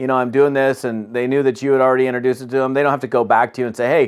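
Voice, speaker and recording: A man talks at a very fast pace in a monotone, flat intonation. The background is quiet. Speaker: business trainer. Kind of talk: training talk to camera. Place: home room.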